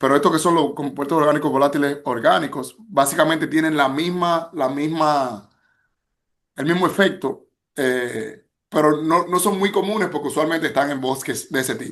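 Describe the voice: A man with a Dominican accent speaks at a moderate pace in a fairly high pitch against a quiet background. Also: ordinary pitch variation.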